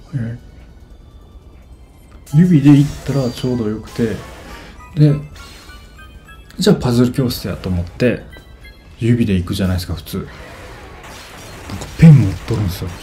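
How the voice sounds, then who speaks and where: Music plays behind a man with a Kansai accent who speaks at a medium pitch and a moderate pace. His intonation is lively, his loudness swings widely, and he takes long, frequent pauses. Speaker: game streamer. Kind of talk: casual gameplay commentary. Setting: echoey room, like a bathroom.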